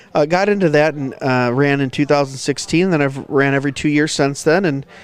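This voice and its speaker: A man speaks at a fairly quick pace with a Midwestern accent. His pitch is fairly high, and his intonation stays fairly even. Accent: Midwest. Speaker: podcaster and county commissioner. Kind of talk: casual chat. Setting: at a conference.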